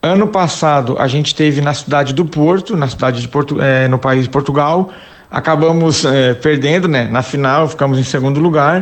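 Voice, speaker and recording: In an ordinary speaking voice, a man speaks at a moderate pace and fairly high pitch with fairly even intonation. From Brazil, Santa Catarina (Criciúma). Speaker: amateur football club president and former player. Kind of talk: interview.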